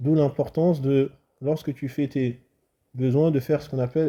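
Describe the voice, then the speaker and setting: The man's voice is fairly high in pitch with a dark, mellow tone. He talks at a fairly quick pace in a monotone, flat intonation. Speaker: Islamic religious teacher. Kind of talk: religious lesson.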